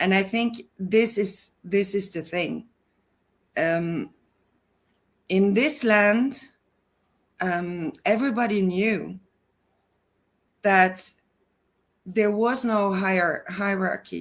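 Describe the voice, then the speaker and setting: A woman speaks very slowly in a Norwegian accent, with medium pitch and ordinary pitch variation. Long pauses come often. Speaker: personal advisor, school founder. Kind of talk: interview. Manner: halting, many fillers.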